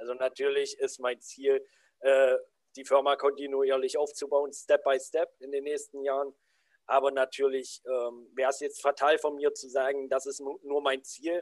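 This man speaks at a moderate pace in a fairly high pitch with monotone, flat intonation. The recording is very clean with a silent background and a dry, close sound with no echo. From southern Saxony-Anhalt, Germany. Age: 20s. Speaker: anti-bullying coach. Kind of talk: podcast interview.

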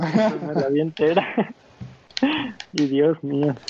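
A man speaks in a dry, close sound with no echo while music plays in the background. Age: young. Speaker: podcast co-host. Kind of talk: casual chat.

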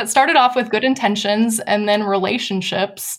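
A woman with an American accent and a fairly high pitch speaks at a moderate pace. She has a plain, everyday voice with ordinary pitch variation. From US Midwest (Wisconsin). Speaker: nonprofit program director. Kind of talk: interview.

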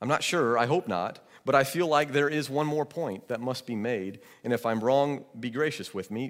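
A man's normal speaking voice with an American accent, medium in pitch, with ordinary pitch variation and a moderate pace, on a very clean recording with a silent background. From Georgia, US South. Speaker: pastor. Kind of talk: sermon.

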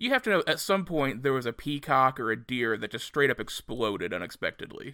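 At a fairly quick pace, a man with medium pitch speaks in a plain, everyday voice on a very clean recording with a silent background. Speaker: podcast host. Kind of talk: casual comedic podcast chat.

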